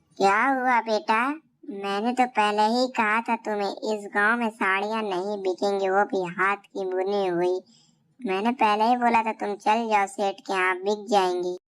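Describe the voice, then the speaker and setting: Using a cartoonish character voice, a woman speaks at medium pitch and a moderate pace with fairly even intonation. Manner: gentle, fatherly.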